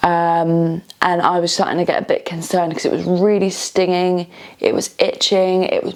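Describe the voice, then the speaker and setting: A woman speaks at a fairly slow pace in a British accent, her medium pitch held in fairly even intonation. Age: 30s. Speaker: vlogger. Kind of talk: personal vlog testimony. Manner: halting, many fillers.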